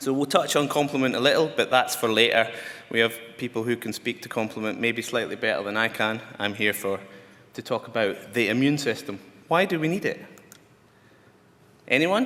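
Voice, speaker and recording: With a Glasgow accent, a man talks at a fairly quick pace in a bright, sharp, medium-pitched voice, using ordinary pitch variation and long, frequent pauses. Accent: Scottish (Glasgow). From Scotland. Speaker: scientist lecturer. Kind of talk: lecture. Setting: conference talk to audience.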